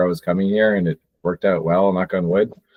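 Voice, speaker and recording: Delivered at a very fast pace in a New Jersey accent, the speech keeps fairly even intonation. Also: man. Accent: American English (New Jersey). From New Jersey, US. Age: 20s. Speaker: podcast host. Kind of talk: casual chat.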